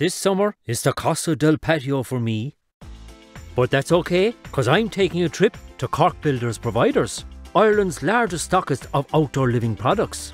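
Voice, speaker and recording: A man speaks at a moderate pace with a fairly high pitch and very wide pitch swings. The sound is dry and close with no echo, and music plays in the background. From Ireland. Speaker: voice actor. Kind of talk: TV commercial read.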